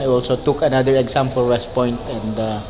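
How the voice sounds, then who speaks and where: With noticeable background noise and audible room echo, a man talks fairly quickly at a medium pitch and with fairly even intonation. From Philippines, Nueva Vizcaya (northern Luzon). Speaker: retired military officer, fraternity chairman. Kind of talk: talk show interview.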